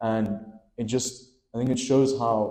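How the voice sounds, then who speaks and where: A man with a dark, mellow tone speaks somewhat breathily at a fairly slow pace with fairly even intonation. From South Africa, Romanian-born. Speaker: poet. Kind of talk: book launch interview. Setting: live event with audience.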